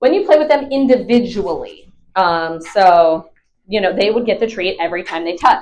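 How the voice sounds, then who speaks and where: Her tone animated and her pitch fairly high, a woman speaks at a moderate pace. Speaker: dog trainer. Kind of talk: tutorial.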